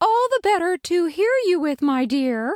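In a squeaky, put-on character voice with extremely high pitch, the speaker talks at a moderate pace. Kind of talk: mock old-woman voice. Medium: audio drama. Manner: falsely sweet, eager.

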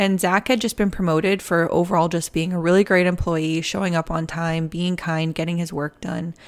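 A woman with an American accent talks in an ordinary speaking voice. Her intonation is fairly even, and there are hardly any pauses. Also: fairly low pitch for a woman. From Massachusetts. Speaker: podcast host. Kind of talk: casual true crime storytelling.

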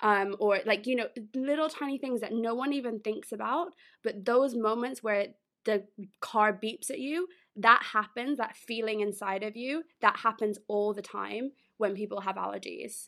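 In an American accent, a woman speaks with a fairly high pitch and a bright, sharp tone, captured on a very clean recording with a silent background. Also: ordinary pitch variation, moderate pace. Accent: British, London, perhaps sounds American-ish. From London, England. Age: 20s. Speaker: food allergy blogger and podcast co-host. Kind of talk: casual interview chat. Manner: laughs often, chatty.

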